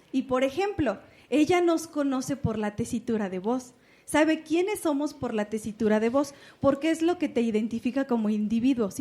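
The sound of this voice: Putting on a character voice, a woman sounds squeaky and shrill at a high pitch, speaking at a moderate pace on a very clean recording with a silent background.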